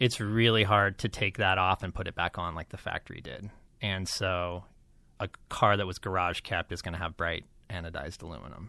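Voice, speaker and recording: A man's very deep, low voice with an American accent, fairly quick and fairly even in intonation, on a very clean recording with a silent background. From Las Vegas, US. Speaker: vintage car restorer. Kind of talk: casual interview.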